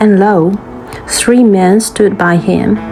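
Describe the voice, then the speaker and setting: With music in the background, a soft-spoken woman talks with fairly even intonation. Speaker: scripture reader. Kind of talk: bible reading for sleep.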